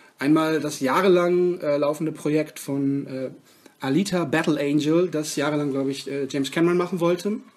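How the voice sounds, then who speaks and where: A man with a fairly high voice speaks at a moderate pace, his intonation fairly even, over noticeable background noise. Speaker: film podcast co-host. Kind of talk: casual chat.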